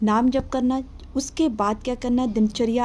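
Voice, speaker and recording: A woman's voice comes across as somewhat breathy, with a dark, mellow tone. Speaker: devotional teacher. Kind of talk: tutorial. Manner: repetitive, instructive. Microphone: no microphone, voice may be faint.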